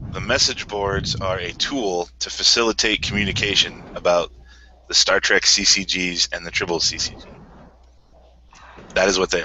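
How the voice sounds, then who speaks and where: Male speech with long, frequent pauses over noticeable background noise. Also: big swings in loudness. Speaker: card game organizer. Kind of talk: interview. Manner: stuttering.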